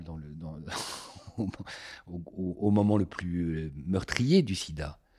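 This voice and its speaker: Speaking at a fairly slow pace, a man has a very deep, low, dark and mellow voice. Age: 50s. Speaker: former activist association president. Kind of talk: conversation, personal testimony. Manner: halting with repetitions.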